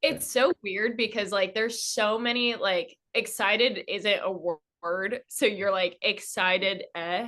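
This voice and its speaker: A woman's fairly high, bright, sharp voice at a fairly slow pace, with ordinary pitch variation and hardly any pauses. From California. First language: Armenian. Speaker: dancer. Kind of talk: casual chat.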